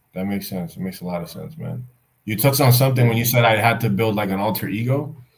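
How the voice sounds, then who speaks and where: Somewhat breathy, a man speaks at a very fast pace with a medium pitch and ordinary pitch variation. His loudness swings widely. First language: Spanish. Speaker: YouTuber. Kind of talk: casual chat.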